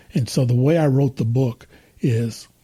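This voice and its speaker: Somewhat breathy, a man's voice sits at a medium pitch with a dark, mellow tone. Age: 60s. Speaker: retired autoworker and author. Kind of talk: interview. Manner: halting.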